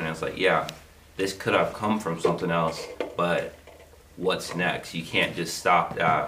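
A man's very deep, low voice, monotone and flat in intonation, with noticeable background noise. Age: 20s. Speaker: podcast co-host. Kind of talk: casual chat.

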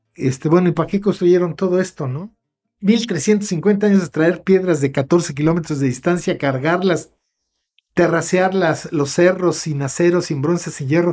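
Pitched high, a man talks at a fairly slow pace. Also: ordinary pitch variation. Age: 70s. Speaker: cultural promoter and researcher. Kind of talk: long-form interview conversation. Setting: at home.

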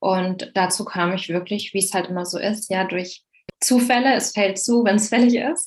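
A woman's normal speaking voice at medium pitch and moderate pace, with ordinary pitch variation. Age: 30s. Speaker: numerology coach. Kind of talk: interview.

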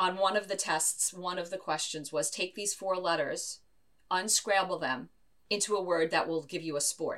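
At a moderate pace, a woman speaks at a medium pitch in a bright, sharp tone. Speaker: inclusive education consultant. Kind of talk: interview.

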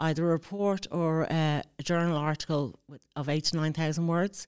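Speaking in an Irish accent at a moderate pace, a woman holds a fairly low pitch and monotone, flat intonation, in a dry, close sound with no echo and a very clean recording with a silent background. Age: 40s. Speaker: mature student. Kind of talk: interview. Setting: studio.

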